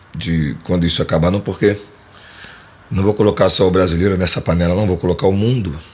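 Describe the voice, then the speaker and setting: A man with a Carioca accent speaks at a fairly low pitch. Noticeable background noise runs underneath. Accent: carioca Brazilian Portuguese. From Rio de Janeiro, Mangueira. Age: 50s. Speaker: musician and composer. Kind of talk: casual interview.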